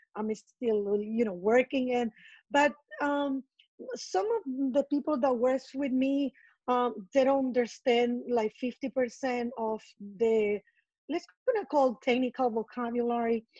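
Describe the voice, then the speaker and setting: A woman's high voice, dark and mellow in tone, in a Colombian accent at a fairly slow pace, dry and close with no echo. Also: ordinary pitch variation. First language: Spanish. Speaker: estate manager. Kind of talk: interview.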